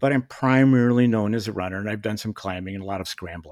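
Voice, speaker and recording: A man's unremarkable speaking voice with an American accent, fairly low in pitch with ordinary variation, in a very clean recording with a silent background and a dry, close sound with no echo. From US Midwest (Kalamazoo, Michigan). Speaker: ultrarunner and outdoor industry veteran. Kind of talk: casual chat.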